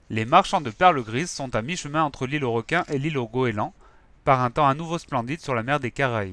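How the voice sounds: The words come in a natural reading voice.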